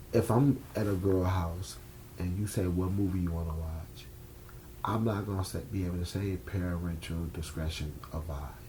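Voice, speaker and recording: Someone with an American accent speaks at a moderate pace with ordinary pitch variation and audible room echo. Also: man, very deep, low pitch for a man. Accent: New York accent when upset. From New York. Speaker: filmmaker. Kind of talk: interview. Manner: casual, blunt; stumbles over words.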